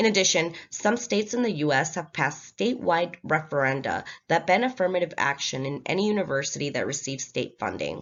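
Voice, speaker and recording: A woman with a slight Latin American accent and a fairly low voice talks at a fairly quick pace with lively intonation and hardly any pauses. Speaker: student. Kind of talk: class presentation.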